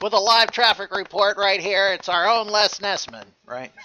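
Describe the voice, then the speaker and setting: A man speaks in a put-on character voice pitched high. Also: moderate pace. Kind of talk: broadcast announcer style.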